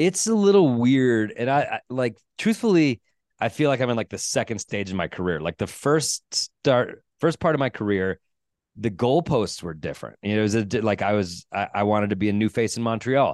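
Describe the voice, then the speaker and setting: A man with a normal speaking voice talks at a moderate pace in a medium pitch, his intonation lively. The sound is dry and close with no echo, over a quiet background. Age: 40s. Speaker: stand-up comedian. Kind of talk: casual chat. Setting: video call.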